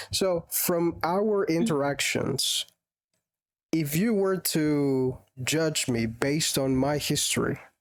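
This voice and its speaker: Speaking in a Spanish accent at a very slow pace, the voice comes through on a very clean recording with a silent background. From Colombia. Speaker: English tutor. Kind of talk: conversation lesson.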